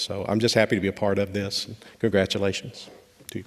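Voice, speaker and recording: Speaking with a slight Kentucky accent, a man has a fairly low pitch. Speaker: law enforcement trainer. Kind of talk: graduation speech. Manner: halting, many fillers.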